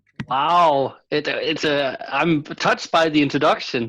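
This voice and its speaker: Speaking at a fairly slow pace, a man with a Danish accent uses a fairly high pitch. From Denmark. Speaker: philosophy professor. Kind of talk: interview conversation.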